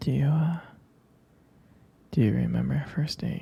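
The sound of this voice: A man in a put-on character voice, fairly slow, with ordinary pitch variation, vocal fry, a dark, mellow tone and a husky, rough edge. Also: medium pitch for a man.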